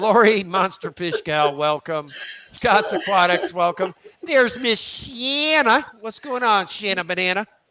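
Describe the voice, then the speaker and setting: With a raised, projected voice, a man speaks at a high pitch through very wide pitch swings. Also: fairly slow pace. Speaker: aquarium hobby livestreamer. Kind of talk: casual livestream chat. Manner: loud.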